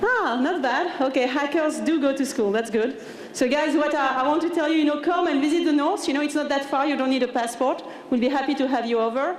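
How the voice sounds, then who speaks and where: A woman with a high pitch speaks at a very fast pace, with ordinary pitch variation and very even loudness. Audible room echo and noticeable background noise surround her. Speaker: tech company engineering manager. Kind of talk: conference talk. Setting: stage with audience. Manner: casual, hesitant with many fillers.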